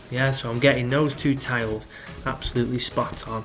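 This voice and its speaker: Against music in the background, a man at a medium pitch speaks at a moderate pace with fairly even intonation. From North West England. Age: 30s. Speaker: tile cleaning technical director. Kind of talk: instructional voice-over. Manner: casual, explanatory.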